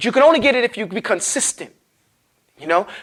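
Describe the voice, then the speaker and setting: A man talks at a fairly quick pace in an animated tone with ordinary pitch variation. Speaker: Quran recitation teacher. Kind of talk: lecture. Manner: fast.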